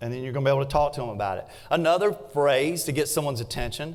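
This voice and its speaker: With a Southern US accent, a man talks at a fairly high pitch with lively intonation. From US South, South Carolina. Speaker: real estate agent and trainer. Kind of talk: workshop presentation.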